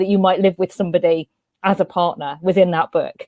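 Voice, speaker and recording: A woman's medium-pitched, very fast speech in a London accent, with a dry, close sound and no echo. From West London, England. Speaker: panelist. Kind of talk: panel discussion.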